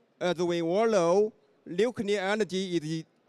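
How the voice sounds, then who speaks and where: Recorded dry and close with no echo, a man talks fairly slowly in a high, dark, mellow voice with ordinary pitch variation. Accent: Chinese. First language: Chinese. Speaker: event moderator. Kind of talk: formal event hosting. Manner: formal.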